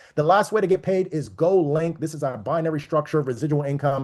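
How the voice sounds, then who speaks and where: In front of a quiet background, a man with a fairly high pitch talks at a very fast pace with ordinary pitch variation. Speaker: network marketing presenter. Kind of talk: sales pitch.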